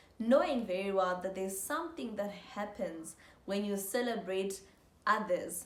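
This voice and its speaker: The speech comes at a moderate pace with an animated tone and ordinary pitch variation. Audible room echo and noticeable background noise are present. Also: woman. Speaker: motivational YouTuber. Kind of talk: motivational talk to camera.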